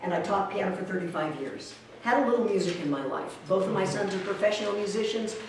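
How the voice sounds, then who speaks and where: Amid noticeable background noise and audible room echo, a woman talks at a moderate pace with lively intonation. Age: 60s. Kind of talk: teaching. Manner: animated.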